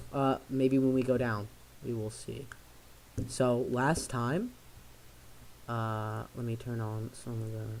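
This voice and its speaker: A soft-spoken man talks at a very slow pace with medium pitch and a monotone, flat intonation. He leaves long, frequent pauses. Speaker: tabletop game master. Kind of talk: tabletop game narration.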